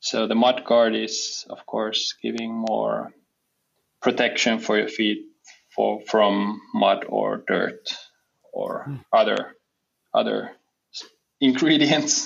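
Very slowly and with long, frequent pauses, a man speaks in a Finnish accent. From southwest Finland. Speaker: footwear brand co-founder. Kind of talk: interview. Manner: halting.

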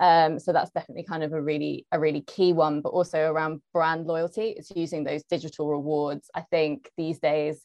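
A woman's very deep, low voice with a London accent, flat and monotone, at a fairly quick pace with hardly any pauses. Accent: southern English (London). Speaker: marketing manager. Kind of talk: panel discussion. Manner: hesitant, many fillers.

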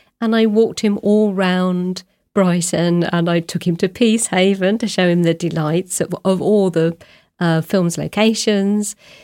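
On a very clean recording with a silent background, a woman speaks fairly slowly at medium pitch in a dark, mellow tone at very even loudness. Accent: southern English. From southern England, Oxfordshire. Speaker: novelist. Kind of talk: interview.

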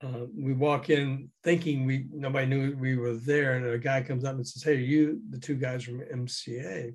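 A somewhat breathy man's voice at a medium pitch, with fairly even intonation. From US South, Memphis. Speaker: former radio DJ and music promoter, author. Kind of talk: interview, storytelling.

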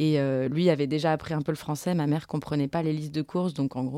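A woman's voice sits very deep and low in pitch. She speaks fairly quickly, with fairly even intonation. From Paris suburbs, France (Montreuil), Portuguese parents. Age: 30s. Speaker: film director. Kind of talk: interview. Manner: halting.

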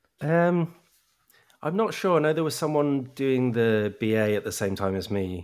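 With a southern English accent, the speaker's pitch makes very wide swings. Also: man, medium pitch for a man, moderate pace, very clean recording, silent background. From Brighton, southern England. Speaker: flute player and folk music author. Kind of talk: casual interview chat.

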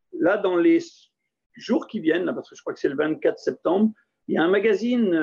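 This man's voice is pitched high and his intonation lively. He keeps a moderate pace. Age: 50s. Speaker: dairy farmer. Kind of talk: casual interview.

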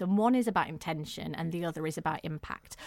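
Speaking at a fairly quick pace with lively intonation, a woman with a northern English accent sounds dry and close with no echo, on a very clean recording with a silent background. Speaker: domestic violence campaigner. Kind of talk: interview about domestic abuse.

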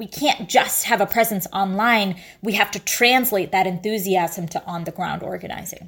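With an ordinary speaking voice, a woman talks at a moderate pace, her medium pitch showing ordinary variation. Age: 20s. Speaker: youth climate activist leader. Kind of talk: interview.

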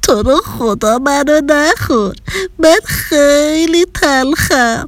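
The speaker uses a put-on character voice that is shaky and high in pitch. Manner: scared pleading.

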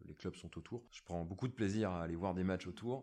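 A man's very deep, low pitch at a fairly quick pace. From France, northern Ardèche. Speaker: village mayor. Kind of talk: podcast interview.

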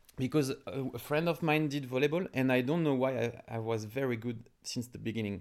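Speaking with a French accent, a man goes at a fairly quick pace, medium in pitch with ordinary pitch variation. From France, Paris suburbs. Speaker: entrepreneur. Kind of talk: interview. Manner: halting.

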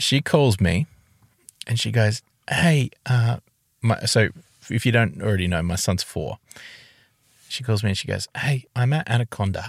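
A man's medium-pitched, somewhat breathy voice at a fairly slow pace, with long, frequent pauses, ordinary pitch variation, and a dry, close sound with no echo on a very clean recording against a silent background. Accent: Australian. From Tasmania, Australia. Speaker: podcast co-host. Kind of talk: casual chat. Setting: in a car.

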